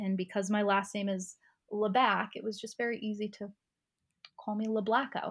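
On a very clean recording with a silent background, a woman uses a normal speaking voice at a medium pitch and a moderate pace. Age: 30s. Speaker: sober lifestyle coach. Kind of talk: casual interview.

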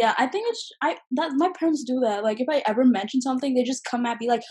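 A woman speaks with an American accent. Her pitch is high, with ordinary pitch variation. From US Midwest, Michigan. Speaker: university student. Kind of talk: casual chat. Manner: animated.

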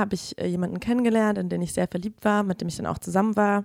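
A woman's normal speaking voice at a medium pitch, fairly even in intonation, with a dry, close sound and no echo. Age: 20s. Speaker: feminist activist sharing experience. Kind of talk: testimony. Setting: studio.

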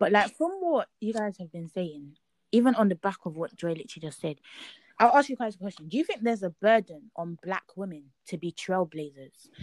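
A woman with a London accent speaks at a medium pitch with lively intonation and big swings in loudness. The sound is dry and close, with no echo. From East London, Nigerian heritage. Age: young. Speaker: podcast host, law student. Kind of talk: casual chat.

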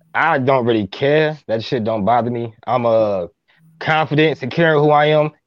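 At a moderate pace, a man talks in an ordinary speaking voice with medium pitch. His pitch varies in an ordinary way. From Minneapolis, Minnesota. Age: 30s. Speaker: relationship podcaster. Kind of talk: casual chat.

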